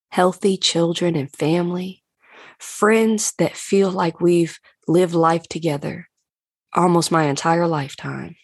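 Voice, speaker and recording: Over a quiet background, a woman with a plain, everyday voice speaks at a fairly slow pace, with fairly low pitch and fairly even intonation. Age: 30s. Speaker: podcast host and life coach. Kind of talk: casual reflective monologue. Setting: home, seated on a couch. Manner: warm, conversational.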